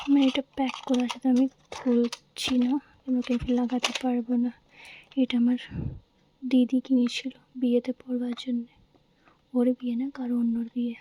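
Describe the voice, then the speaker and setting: The voice is soft-spoken and monotone with flat intonation, recorded dry and close with no echo. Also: woman, high pitch for a woman. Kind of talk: casual talk to camera. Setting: lo-fi ASMR recording.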